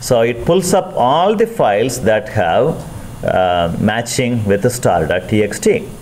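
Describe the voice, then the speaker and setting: A man at medium pitch talks at a very slow pace with very wide pitch swings, very even loudness and hardly any pauses. Noticeable background noise and audible room echo surround him. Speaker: university lecturer. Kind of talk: lecture.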